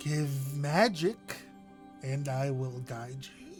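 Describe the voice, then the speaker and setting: A put-on character voice, creaky and low-to-middle in pitch, at a very slow pace over clear music in the background. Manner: slow, mystical.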